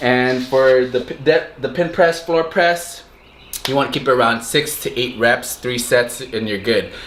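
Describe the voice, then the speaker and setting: Speech at a moderate pace comes through over noticeable background noise. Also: man. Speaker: fitness youtuber. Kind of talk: tutorial. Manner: halting; casual, unscripted.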